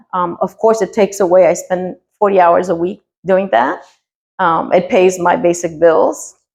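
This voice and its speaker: A woman is speaking at a moderate pace. Her pitch is medium. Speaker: artist and museum teaching artist. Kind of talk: casual interview. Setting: home studio.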